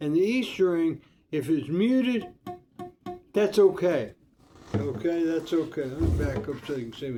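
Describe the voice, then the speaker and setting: This man has a dark, mellow tone and a fairly high pitch. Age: 60s. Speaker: guitar teacher. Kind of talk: tutorial. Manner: halting; casual.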